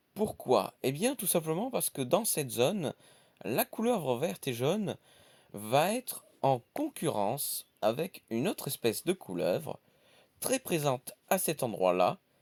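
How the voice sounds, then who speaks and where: Speaking at a fairly slow pace in a fairly high pitch, a man uses vocal fry and very wide pitch swings in a very clean, dry, close recording with a silent background and no echo. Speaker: nature YouTuber. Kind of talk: nature documentary narration. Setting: outdoors. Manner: soft-spoken.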